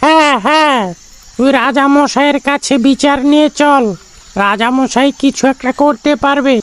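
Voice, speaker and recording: High-pitched and cartoonish, this character voice moves at a fairly slow pace. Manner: repeats 'yes, yes' eagerly.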